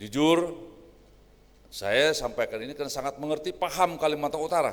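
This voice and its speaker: A man talks at a fairly quick pace with vocal fry. His pitch sits fairly high. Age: 60s. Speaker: senior regional government official. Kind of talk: official speech. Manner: informal, conversational.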